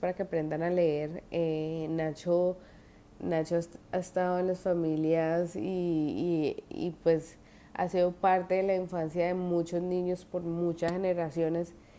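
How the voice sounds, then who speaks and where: A woman's fairly low pitch and dark, mellow tone at a fairly slow pace with monotone, flat intonation. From Colombia. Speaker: student teacher. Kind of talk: video diary assignment. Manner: halting, many fillers and restarts.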